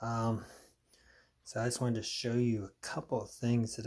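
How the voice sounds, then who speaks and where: A man speaks quietly and somewhat breathily. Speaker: military surplus collector. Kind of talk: casual talk to camera. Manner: low, quiet.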